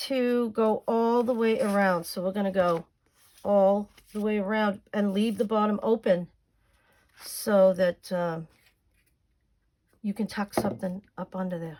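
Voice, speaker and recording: A woman speaks at a fairly slow pace with a Boston accent. Her pitch is medium with ordinary variation, and she takes long, frequent pauses. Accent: thick Boston. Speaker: crafting YouTuber. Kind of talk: crafting tutorial. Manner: casual, chatty.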